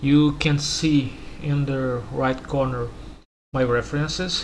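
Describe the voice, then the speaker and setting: A man's monotone, flat delivery, with noticeable background noise and audible room echo. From Brazil. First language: Portuguese. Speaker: 3D modeler. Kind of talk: tutorial. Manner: halting.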